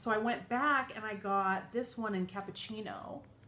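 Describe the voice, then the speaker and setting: Some light noise sits in the background. Over it, a woman talks. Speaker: beauty vlogger. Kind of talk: casual vlog chat. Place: home room. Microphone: phone near.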